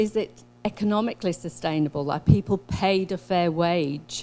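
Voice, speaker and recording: In a New Zealand accent, a woman talks at a moderate pace with a fairly low pitch and a dark, mellow tone. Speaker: social scientist. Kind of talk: conference presentation. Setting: workshop talk, online and in person.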